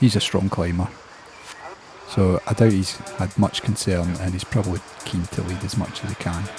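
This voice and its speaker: A man's very deep, low voice, monotone and flat, at a moderate pace with long, frequent pauses and music in the background. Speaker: amateur indoor cycling racer. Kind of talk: race commentary for video.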